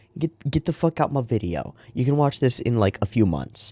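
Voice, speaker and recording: Quiet and with a dark, mellow tone, a man speaks at a moderate pace with very wide pitch swings. The recording is very clean with a silent background and has a dry, close sound with no echo. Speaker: dungeon master and channel host. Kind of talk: casual vlog monologue. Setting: at home. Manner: talking quietly.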